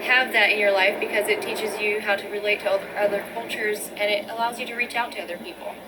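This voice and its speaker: A woman with a fairly high pitch talks at a very fast pace in a monotone, flat way, with hardly any pauses. Audible room echo and noticeable background noise fill the recording. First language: Pennsylvania Dutch. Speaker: nursing student. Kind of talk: interview. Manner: hesitant, many fillers.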